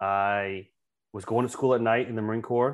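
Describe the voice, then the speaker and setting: A man's medium-pitched voice in an American accent, monotone and flat, against a quiet background. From US South, coastal South Carolina. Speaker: retired Marine officer and franchise owner. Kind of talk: interview chat.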